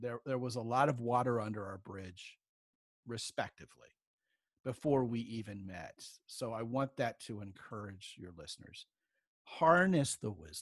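A man talks in a normal speaking voice at medium pitch, with lively intonation and big swings in loudness. The sound is dry and close with no echo, on a very clean recording with a silent background. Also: moderate pace. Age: 50s. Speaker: relationship coach. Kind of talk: interview.

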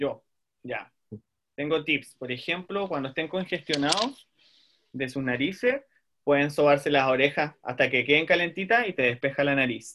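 Moderate pace and ordinary pitch variation, in a Chilean accent. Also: man, fairly high pitch for a man. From southern Chile, Puerto Montt. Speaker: speech therapist. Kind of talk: casual chat.

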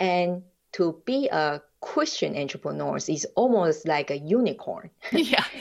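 At a fairly slow pace, a woman speaks in a Taiwanese accent. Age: 50s. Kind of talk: interview, personal story. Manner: halting, non-fluent.

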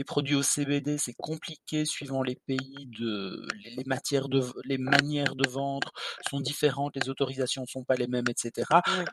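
The sound is dry and close, with no echo. A man speaks at a medium pitch and a fairly slow pace in a monotone, flat intonation. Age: 50s. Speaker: skincare blogger, podcast co-host. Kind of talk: casual chat.

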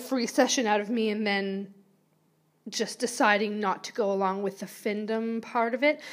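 A woman with a Canadian accent speaks at a moderate pace and fairly high pitch, on a very clean recording with a silent background. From Vancouver, Canada. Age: 30s. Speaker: podcast host. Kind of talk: casual monologue.

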